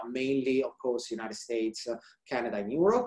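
A man talks in an Italian accent with ordinary pitch variation. The background is quiet. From central Italy. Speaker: research scientist; presenter. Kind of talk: scientific presentation. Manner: halting, many fillers. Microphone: webcam.

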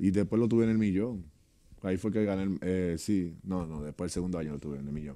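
Against a quiet background, a man with a very deep, low pitch and a dark, mellow tone speaks at a very fast pace with ordinary pitch variation. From Dominican Republic. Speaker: retired basketball player; guest. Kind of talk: interview. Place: studio. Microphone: studio mic.

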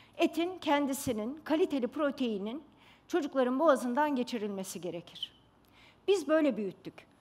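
A woman's high voice with very wide pitch swings at a moderate pace. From Istanbul, Turkey; Turkey. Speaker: pediatrician; speaker. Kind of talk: stage talk. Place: stage. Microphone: headset.

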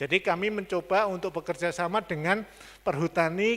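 A man speaks in a high-pitched voice. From Indonesia, Surabaya (East Java); East Java, Indonesia. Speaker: oil company manager, former lecturer; former lecturer. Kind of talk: guest lecture. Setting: university hall with live and online audience. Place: meeting room. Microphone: handheld.

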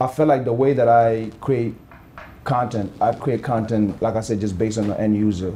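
Over light background noise, a man with a dark, mellow tone speaks at a moderate pace with fairly even intonation. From Gambia. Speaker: influencer and model. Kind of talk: casual interview. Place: home room.

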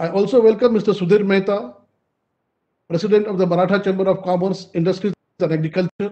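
A man with a high pitch talks at a very fast pace with fairly even intonation and long, frequent pauses, against a quiet background. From India. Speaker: event moderator. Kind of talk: formal speech. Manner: formal. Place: home room. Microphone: video call.

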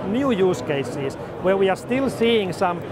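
Against clear background noise, a man speaks in a high pitch with lively intonation at a fairly slow pace.

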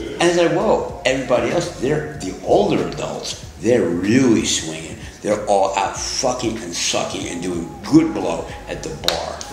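A man at a fairly low pitch and fairly slow pace, with lively intonation, audible room echo and clear music in the background

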